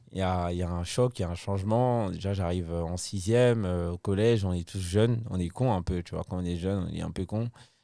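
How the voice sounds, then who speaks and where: A man's very deep, low voice with a dark, mellow tone, at a fairly quick pace with hardly any pauses and fairly even intonation, in a very clean recording with a silent background. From Ivory Coast, Abidjan. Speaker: comedian. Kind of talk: casual chat.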